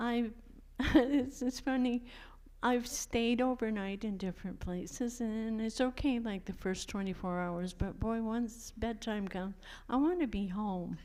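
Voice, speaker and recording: In an American accent, a woman speaks at a fairly slow pace with a fairly high pitch and ordinary pitch variation. Room echo is audible. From Maine coast, US. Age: 70s. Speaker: retired fisherwoman. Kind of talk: interview. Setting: church, audience.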